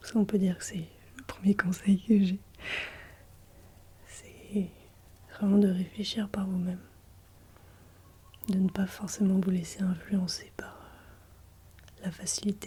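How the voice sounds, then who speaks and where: Soft-spoken and gentle in tone, a woman talks at a very slow pace with a medium pitch, monotone, flat intonation and long, frequent pauses. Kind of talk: ASMR advice talk to camera. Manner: soft-spoken, gentle.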